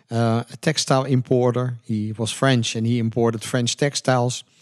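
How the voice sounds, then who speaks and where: A man speaks with a Dutch accent at a medium pitch, his intonation monotone and flat. The sound is dry and close with no echo, over a quiet background. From Netherlands. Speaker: entrepreneur. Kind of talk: interview.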